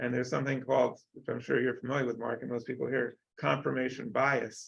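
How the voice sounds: A man's medium-pitched voice with vocal fry, little pitch movement and a fairly quick pace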